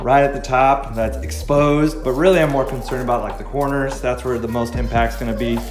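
A man speaks at a fairly quick pace with audible room echo and clear music in the background. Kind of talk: tutorial. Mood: relaxed and cheerful. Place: home room. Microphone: camera far.

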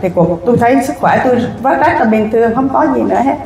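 A woman with a fairly high pitch talks at a moderate pace, with light background noise and audible room echo. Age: 60s. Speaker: cancer patient. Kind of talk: testimony. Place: hall. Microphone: handheld.

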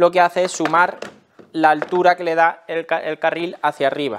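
A man speaks with a Spanish accent. His pace is moderate. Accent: Peninsular Spanish. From Spain. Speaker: tool review YouTuber. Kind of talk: product review tutorial. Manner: casual, explanatory. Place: workshop.

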